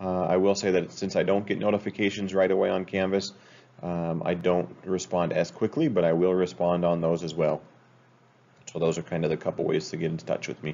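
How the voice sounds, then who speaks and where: A man's very deep, low voice with an American accent, fairly even intonation and a fairly quick pace. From Utah. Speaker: school teacher. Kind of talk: class introduction video. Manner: casual, hesitant with many fillers. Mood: relaxed, friendly. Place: home room. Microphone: webcam.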